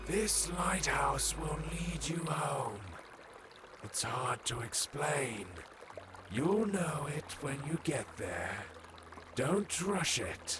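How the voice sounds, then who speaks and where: Over clear background noise, a put-on character voice plods along at a very slow pace with long, frequent pauses. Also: man. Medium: machinima. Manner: calm, unhurried.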